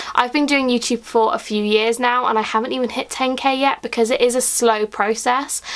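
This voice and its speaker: Against noticeable background noise, a woman talks at a fairly quick pace with hardly any pauses, her high voice monotone and flat. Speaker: YouTuber. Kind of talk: casual vlog talk to camera. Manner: fast.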